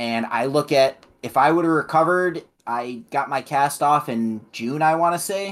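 On a very clean recording with a silent background, a man with a Midwestern US accent speaks at a fairly high pitch with lively intonation. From Illinois. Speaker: podcast co-host. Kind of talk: casual chat.

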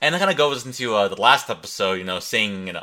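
The man speaking has a tone that is bright and sharp. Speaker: podcast host. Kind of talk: casual solo ramble. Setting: home recording, solo. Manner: fast talker, self-admitted; casual, rambling, profane.

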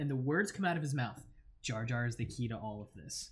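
A somewhat breathy man with an American accent speaks with ordinary pitch variation. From US South, central Florida. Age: 20s. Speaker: guest. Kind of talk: casual chat.

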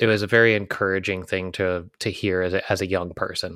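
Speaking fairly quickly in a very deep, low register, a man is captured in a very clean recording with a silent background. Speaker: podcast co-host. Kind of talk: casual chat.

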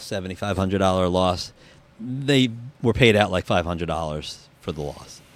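With a New Jersey accent, a man speaks at a fairly low pitch and with ordinary pitch variation. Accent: New Jersey American. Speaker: insurance claims adjuster. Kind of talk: casual interview.

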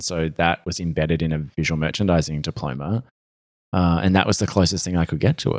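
A man's very deep, low voice with an Australian accent, at a fairly quick pace. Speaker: fashion stylist. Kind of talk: casual interview chat.

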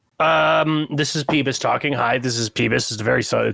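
Fairly slow, raspy delivery in a put-on character voice. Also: man, medium pitch for a man. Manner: subtle character voice.

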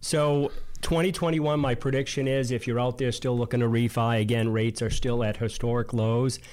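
With a slight Boston accent, a man speaks at a fairly quick pace and medium pitch, his loudness very even and his intonation fairly even. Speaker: co-host, mortgage professional. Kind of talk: casual business chat.

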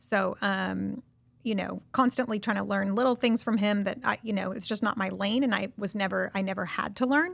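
A woman with an American accent and vocal fry speaks at a moderate pace and medium pitch, with ordinary pitch variation, in a very clean recording with a silent background. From California. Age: 30s. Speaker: real estate investor. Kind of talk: interview.

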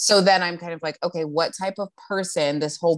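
The recording, very clean with a silent background, captures a woman's voice. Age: 20s. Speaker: podcast host. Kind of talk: casual chat. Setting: in person, walking around.

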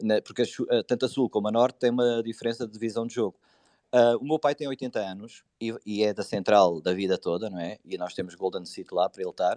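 With a dark, mellow tone, a man talks at medium pitch with ordinary pitch variation. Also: fairly quick pace, dry, close sound with no echo. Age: 40s. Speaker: football supporters' group leader. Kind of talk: casual chat.

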